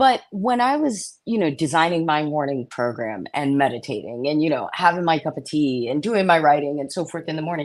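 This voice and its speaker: Over a quiet background, a woman talks at a moderate pace in a very deep, low pitch. Her pitch swings very widely. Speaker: financial sales coach. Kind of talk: interview. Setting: podcast recording. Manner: stumbles over words.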